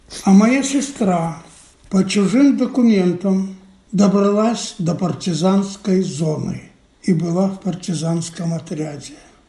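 A high-pitched man with a dark, mellow tone, ordinary pitch variation and a very slow pace, in audible room echo. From Belarus, Minsk. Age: 80s+. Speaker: Holocaust survivor. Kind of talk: testimony.

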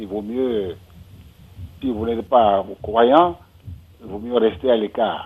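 A man speaks at a very slow pace with long, frequent pauses and big swings in loudness. His pitch is medium, with ordinary variation. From Benin. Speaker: writer. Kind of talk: radio discussion.

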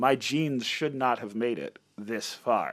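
A man speaks in a plain, everyday voice. His pitch sits in the medium range, with ordinary pitch variation. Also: very clean recording, silent background. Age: 30s. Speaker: singer and guitarist. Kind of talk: interview. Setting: studio.

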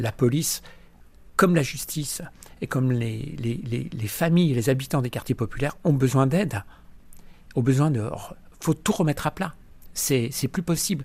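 Somewhat breathy and fairly high-pitched, a man talks at a moderate pace with ordinary pitch variation and long, frequent pauses. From eastern France, near Lyon (Vienne). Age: 60s. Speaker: community activist. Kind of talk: testimony. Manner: emphatic.

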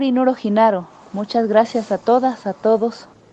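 A woman at a fairly slow pace, over noticeable background noise. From Mexico, Oaxaca (Mixtec community). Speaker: film director. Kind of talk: interview.

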